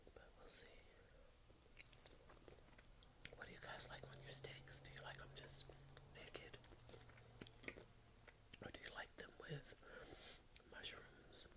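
Soft-spoken and whispering, the voice moves at a fairly slow pace with long, frequent pauses over loud background noise. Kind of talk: casual eating vlog chat. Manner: soft ASMR whisper. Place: home room. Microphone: phone near.

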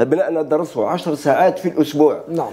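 At a fairly quick pace, a man speaks in a high pitch with a dark, mellow tone. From Algeria. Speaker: trade unionist and former MP; guest, education commentator. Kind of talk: televised panel debate; interview answer. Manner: formal. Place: studio. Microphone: lapel.

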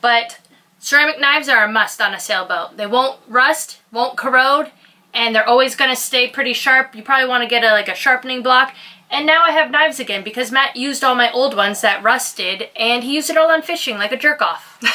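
Talking at a fairly quick pace, a woman uses a raised, projected voice. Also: ordinary pitch variation. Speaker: sailing vlogger. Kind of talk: casual vlog product tutorial. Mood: playful, teasing. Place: boat.

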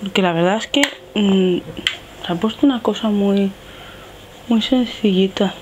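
A woman talks at a fairly slow pace with ordinary pitch variation and long, frequent pauses. Noticeable background noise runs behind her. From Spain. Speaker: beauty youtuber. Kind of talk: makeup tutorial. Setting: home filming setup with ring light. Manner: casual, chatty. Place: home room. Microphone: lapel.

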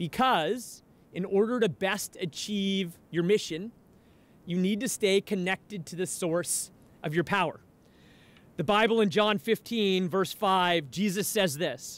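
Here a man talks at a fairly slow pace and a high pitch, with ordinary pitch variation and a dry sound with no echo. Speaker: guest. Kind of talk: sermon. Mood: earnest, exhortative. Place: street. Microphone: podium.

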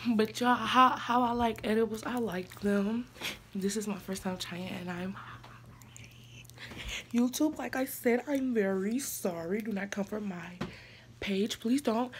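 A woman talks at a fairly slow pace with long, frequent pauses and ordinary pitch variation. Light background noise is present. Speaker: vlogger. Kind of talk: casual vlog chat. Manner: loose, giddy, intoxicated high speech. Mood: giggly, intoxicated, apologetic. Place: home room. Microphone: phone near.

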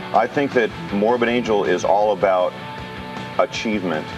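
A man speaks at a moderate pace with a fairly low pitch and ordinary pitch variation. Music is clearly heard in the background. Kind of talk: interview answer. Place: studio.

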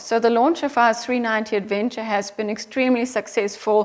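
A woman with a German accent, fairly high pitch and fairly even intonation, against a quiet background. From Austria. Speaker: motorcycle company managing director. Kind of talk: interview. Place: office. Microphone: lapel.

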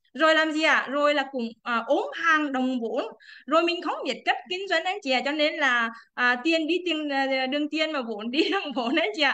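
A woman speaks in a raised, projected voice at a high pitch and a fairly quick pace, her tone bright and sharp. Her pitch varies in an ordinary way over a quiet background. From Quảng Trị, central Vietnam; Vietnam. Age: 30s. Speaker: businesswoman. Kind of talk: testimony. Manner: halting. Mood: cheerful, smiling. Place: home room. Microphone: video call.

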